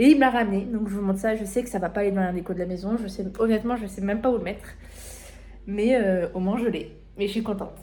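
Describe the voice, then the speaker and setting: In a room with audible echo, a woman talks at a medium pitch. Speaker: vlogger. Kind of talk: casual vlog. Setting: at home, partly outdoors. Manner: loud; animated.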